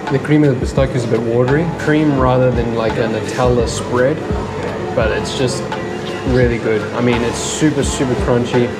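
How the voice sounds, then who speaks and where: Over loud background music, a man speaks at a moderate pace. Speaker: food vlogger. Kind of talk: casual vlog chat. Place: cafe. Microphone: phone near.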